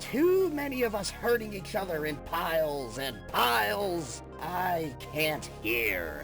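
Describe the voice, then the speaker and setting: Someone performs in a put-on character voice at a fairly slow pace. Loud music plays in the background. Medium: dub. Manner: calm, chill.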